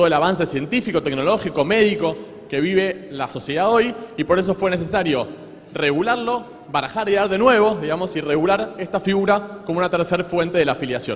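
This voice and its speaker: A man's high, lively voice at a fairly quick pace, with noticeable background noise. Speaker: law lecturer. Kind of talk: lecture. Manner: fast.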